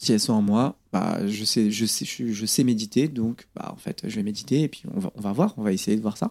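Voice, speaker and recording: Lively intonation runs through a man's fairly low voice as he talks at a moderate pace with hardly any pauses, the sound dry and close with no echo. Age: 30s. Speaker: magnetic healer, former train steward. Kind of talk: interview conversation. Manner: hesitant, with fillers and repetitions.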